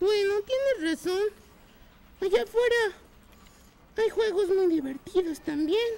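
An extremely high-pitched cartoonish character voice at a fairly slow pace, broken by long, frequent pauses. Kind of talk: children's puppet show. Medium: puppet show. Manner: startled, then agreeable.

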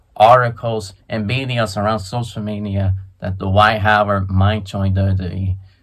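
A man's bright, sharp tone with fairly even intonation at a very slow pace, over a quiet background. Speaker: sports and wrestling vlogger. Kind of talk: casual talk to camera, commentary on wrestling news. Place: home room. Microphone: phone near.

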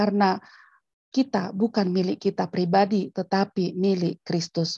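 The voice has a dark, mellow tone and is somewhat breathy, set against a quiet background with a dry sound and no echo. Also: woman. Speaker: theology school head, pastor; pastor. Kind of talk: lecture. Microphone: video call.

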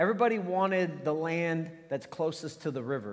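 Lively intonation runs through a man's high voice. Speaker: pastor. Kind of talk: sermon. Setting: church. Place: church.

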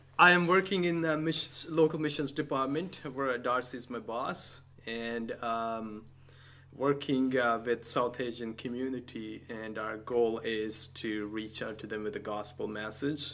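A man with a Punjabi accent, medium in pitch with ordinary pitch variation, a bright, sharp tone and a fairly slow pace. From Pakistan. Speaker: church multicultural ministry director. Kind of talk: casual chat.

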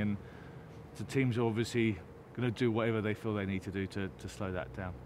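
Noticeable background noise surrounds a man talking at a very fast pace, his fairly low voice showing ordinary pitch variation in a dry sound with no echo. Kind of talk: interview answer. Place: stadium.

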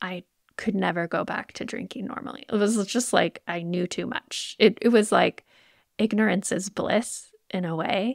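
With an American accent and some vocal fry, a woman speaks at a moderate pace with ordinary pitch variation, in a dry, close sound with no echo. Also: medium pitch for a woman. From US, Idaho. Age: 40s. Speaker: podcast host, nurse and health coach. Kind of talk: personal reflection monologue. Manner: casual, rambling.

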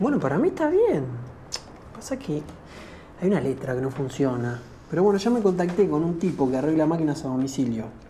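A woman at a very deep, low pitch, fairly quick pace, light background noise. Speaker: actor in fiction scene. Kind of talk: scripted dialogue. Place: home room.

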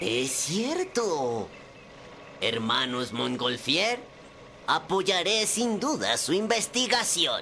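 A man's cartoonish character voice, high-pitched, raised and projected, very slow, with very wide pitch swings, long, frequent pauses and clear background noise. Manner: dry, ironic, regal.

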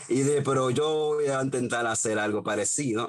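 A man's medium-pitched voice in a Dominican accent at a moderate pace. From Dominican Republic. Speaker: independent filmmaker; guest. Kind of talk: interview. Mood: relaxed, smiling. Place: home room. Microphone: video call.

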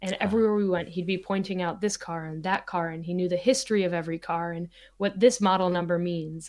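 A woman with an American accent speaks at a medium pitch and a fairly quick pace, with ordinary pitch variation. The recording is very clean, the background silent. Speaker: photographer and video creator. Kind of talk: casual interview chat. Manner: animated.

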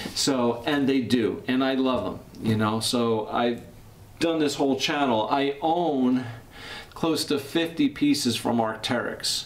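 A man talks at a very slow pace while light background noise sits underneath. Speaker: jacket reviewer. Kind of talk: casual commentary. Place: studio.

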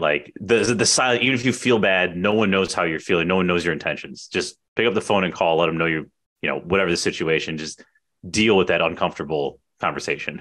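Against a quiet background, a man with an American accent speaks at a very fast pace in a very deep, low pitch with a bright, sharp tone. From Chicago, Portage Park; Chicago. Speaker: podcast host, real estate agent; podcast host. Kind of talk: casual interview chat. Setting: video call. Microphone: studio mic.

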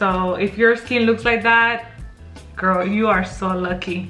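A woman talks with ordinary pitch variation while faint music plays behind her. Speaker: beauty vlogger. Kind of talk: casual vlog chat, product review. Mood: cheerful, upbeat. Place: home room. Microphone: phone near.

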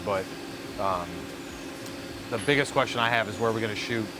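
A man is talking. There is clearly noticeable noise in the background. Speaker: video host planning a shoot. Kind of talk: casual planning talk. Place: workshop.

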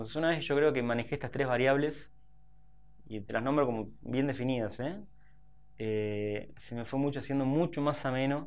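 The pitch variation is ordinary. A man speaks at a moderate pace. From Buenos Aires, Argentina (Saavedra); Buenos Aires. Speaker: fitness trainer and entrepreneur; fitness trainer. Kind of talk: interview. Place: studio.

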